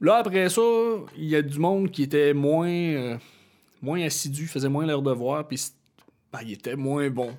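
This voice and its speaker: With ordinary pitch variation, a man speaks at a fairly high pitch and a fairly slow pace. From Quebec (Chibougamau). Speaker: musician. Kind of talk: casual chat.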